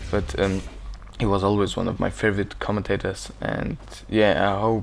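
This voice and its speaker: A man speaks fairly slowly while noticeable noise fills the background. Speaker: gaming commentator. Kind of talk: gameplay commentary. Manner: casual, hesitant.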